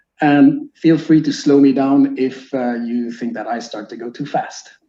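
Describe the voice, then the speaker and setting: A man's dark, mellow tone in a French-Canadian accent. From Quebec, Canada (Sherbrooke). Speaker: teacher. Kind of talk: lecture.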